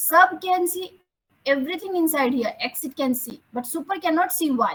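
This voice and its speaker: This is a woman's voice. Her intonation is lively. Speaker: programming teacher. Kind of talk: online lecture. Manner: slow.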